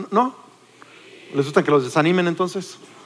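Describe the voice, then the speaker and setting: An animated, high-pitched male voice over noticeable background noise. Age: 40s. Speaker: pastor. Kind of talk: sermon.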